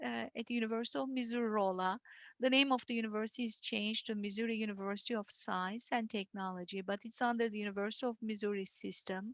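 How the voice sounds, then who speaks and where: A woman speaks with a Turkish accent at a fairly high pitch. The sound is dry and close, with no echo. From Turkey (Istanbul). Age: 50s. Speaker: university dean and engineering professor. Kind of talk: presentation talk.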